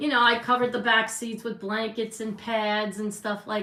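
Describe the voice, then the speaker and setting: Noticeable background noise sits behind a woman with a New York accent. She speaks at a moderate pace with a fairly high pitch. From New York, the Bronx. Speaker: livestream host, makeup artist. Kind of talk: casual chat. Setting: livestream.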